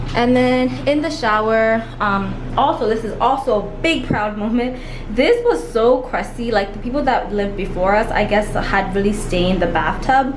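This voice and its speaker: Amid noticeable background noise and audible room echo, a woman talks at a moderate pace. Her fairly high voice has ordinary pitch variation. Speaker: lifestyle vlogger. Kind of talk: home tour vlog. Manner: animated.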